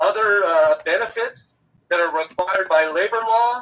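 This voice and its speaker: This man's pace is fairly slow. Ordinary pitch variation runs through his speech. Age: 60s. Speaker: rideshare driver and activist. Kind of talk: live interview.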